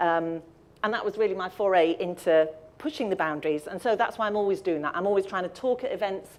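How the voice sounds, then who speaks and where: At a fairly quick pace, a woman speaks in a medium-pitched voice with ordinary pitch variation. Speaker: audio describer and accessibility presenter. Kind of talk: presentation talk. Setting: live event with audience and stream. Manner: fast.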